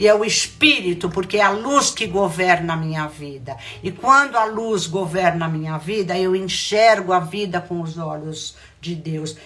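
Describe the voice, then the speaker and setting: Speaking at a fairly slow pace and fairly low pitch, a woman uses lively intonation over noticeable background noise. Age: 70s. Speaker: spiritual mentor. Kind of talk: spiritual talk.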